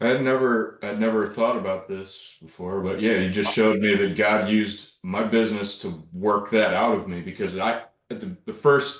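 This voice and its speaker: A man with an ordinary speaking voice talks at a moderate pace, his pitch fairly low. He barely pauses, and his pitch varies in an ordinary way. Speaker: handyman contractor, small business owner. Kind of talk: casual group discussion.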